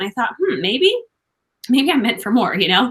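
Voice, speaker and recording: Loud and animated, a woman speaks in a high, bright, sharp tone with very wide pitch swings. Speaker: business coach, former network marketer. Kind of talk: interview. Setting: alone in a room, remote call.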